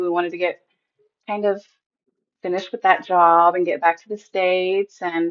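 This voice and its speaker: A woman at medium pitch with an American accent, at a moderate pace. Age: 30s. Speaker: mom and former military linguist. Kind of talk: interview.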